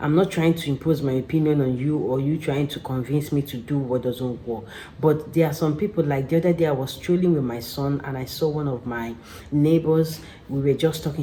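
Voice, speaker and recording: A woman is whispering, neither fast nor slow. Clear background noise can be heard behind her. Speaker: vlogger. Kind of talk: casual chat. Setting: at home.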